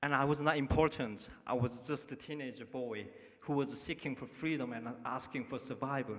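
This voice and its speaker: A man with a Korean accent talks with fairly even intonation. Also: medium pitch for a man, moderate pace. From North Korea. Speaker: refugee telling his story. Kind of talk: testimony. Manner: halting.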